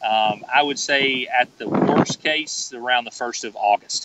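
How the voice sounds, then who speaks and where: A man's fairly high voice with a Southern US accent at a moderate pace, with noticeable background noise. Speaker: golf author. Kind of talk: podcast interview. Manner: halting, many fillers and repeats.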